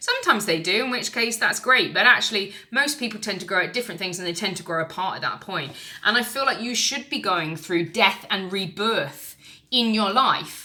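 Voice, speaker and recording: Against noticeable background noise, a woman with an English accent speaks at a fairly quick pace and medium pitch with lively intonation. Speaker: tarot reader. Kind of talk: tarot reading monologue. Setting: recorded on camera. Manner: fast.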